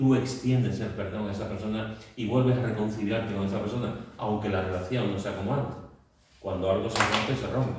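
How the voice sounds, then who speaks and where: A man speaks at a fairly quick pace with fairly even intonation. Noticeable background noise and audible room echo surround him. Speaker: Bible study teacher. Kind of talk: Bible study teaching. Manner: fast; hesitant, many fillers.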